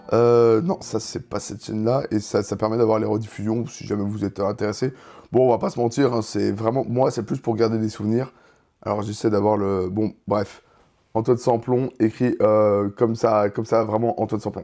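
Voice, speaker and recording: The voice has a dark, mellow tone and fairly even intonation. It moves at a moderate pace. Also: man, medium pitch for a man. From France, Franche-Comté (Dole). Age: 20s. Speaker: streamer. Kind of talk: casual live-stream talk. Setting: live stream. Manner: hesitant, many fillers.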